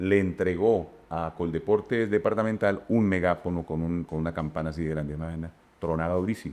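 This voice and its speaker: Moderately paced, a man's very deep, low voice with a dark, mellow tone shows ordinary pitch variation. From Casanare, Colombian plains. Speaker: radio and TV announcer, festival presenter. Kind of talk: interview answer. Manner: casual, storytelling.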